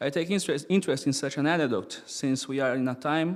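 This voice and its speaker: On a very clean recording with a silent background, a man speaks at a moderate pace and a fairly high pitch, with ordinary pitch variation. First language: not English. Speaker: experimental musician and philosopher. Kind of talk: lecture read from paper.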